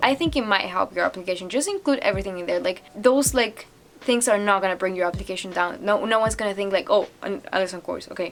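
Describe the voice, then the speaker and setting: A woman with a medium pitch and ordinary pitch variation talks through noticeable background noise. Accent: non-native. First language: not English. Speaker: international student. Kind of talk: casual talk to camera. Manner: rambling.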